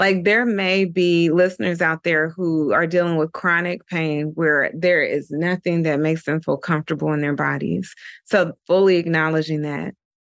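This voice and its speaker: In a normal speaking voice with an American accent, the speaker keeps a fairly even intonation. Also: woman. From Dayton, Ohio. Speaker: yoga and meditation teacher. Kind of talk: casual interview chat.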